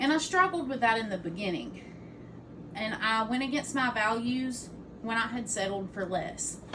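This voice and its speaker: At a moderate pace, a woman speaks with a fairly high pitch and lively intonation, with audible echo in the room. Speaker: student giving a class speech. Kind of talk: informative speech. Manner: loud.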